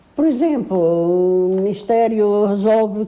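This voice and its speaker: A woman with a medium pitch and a dark, mellow tone speaks with lively intonation. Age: 80s+. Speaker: retired teacher. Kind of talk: interview.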